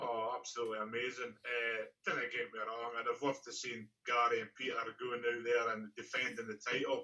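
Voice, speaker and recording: A man's bright, sharp-toned voice with a Scottish accent, medium in pitch, at a fairly quick pace with monotone, flat intonation. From Scotland. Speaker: professional darts player. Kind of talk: interview answer.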